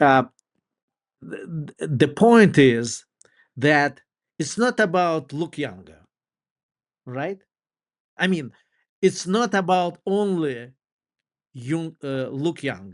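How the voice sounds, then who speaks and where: A man with a non-native accent talks at a very slow pace in a fairly high pitch, his pitch swinging very widely, with long, frequent pauses over a quiet background. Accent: foreign. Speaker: dentist. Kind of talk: interview. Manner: halting.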